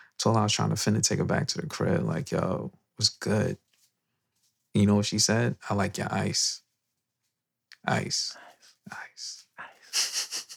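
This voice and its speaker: The man whispers fairly slowly, stopping often for long pauses. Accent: New York. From New York. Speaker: podcast host. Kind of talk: casual chat. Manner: whispering.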